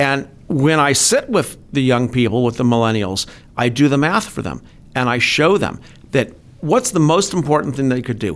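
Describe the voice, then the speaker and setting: Delivered at a moderate pace, a man's plain, everyday voice sits at a fairly high pitch with lively intonation. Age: 50s. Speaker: business manager and financial adviser. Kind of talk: podcast interview.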